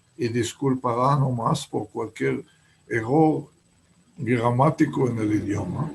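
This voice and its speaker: A man with a Hebrew accent speaks at a very slow pace, his medium pitch showing ordinary variation. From Israel, Haifa. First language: Hebrew (speaking Spanish). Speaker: writer. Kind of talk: interview. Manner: halting.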